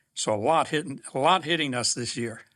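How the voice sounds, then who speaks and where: A man's medium-pitched voice with lively intonation and a bright, sharp tone, on a very clean recording with a silent background. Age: 70s. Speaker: financial advisor. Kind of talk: interview storytelling.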